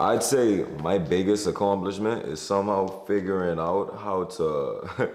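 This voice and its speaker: Speaking in a Bahamian accent at a fairly slow pace with hardly any pauses, a man with a fairly low pitch is heard over noticeable background noise and audible room echo. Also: fairly even intonation. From Bahamas. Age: 20s. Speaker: entertainer and creative director. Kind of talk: interview monologue. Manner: casual, conversational.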